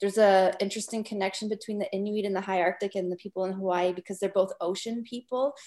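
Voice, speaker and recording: A woman's plain, everyday voice at medium pitch, with fairly even intonation. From Northwest Territories, Canada. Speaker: documentary filmmaker. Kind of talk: interview.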